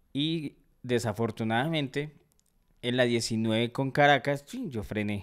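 A man talks at a very slow pace with medium pitch and ordinary pitch variation. The background is quiet. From Colombia. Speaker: comedy podcast host. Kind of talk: casual chat. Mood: humorous anecdote telling. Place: studio. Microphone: studio mic.

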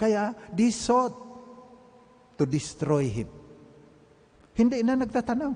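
A man's extremely high voice with lively intonation, at a very slow pace with long, frequent pauses. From Mindanao, Philippines. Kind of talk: sermon, homily at live Mass, mixing Tagalog and English, personal testimony. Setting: church, live Mass. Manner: earnest, conversational, reflective, storytelling. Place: church. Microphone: podium.

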